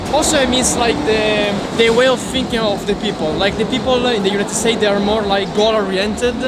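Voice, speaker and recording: Over noticeable background noise and audible room echo, a man with a strong Italian accent talks in a high pitch with fairly even intonation. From Italy. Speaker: local friend. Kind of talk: casual interview. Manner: halting.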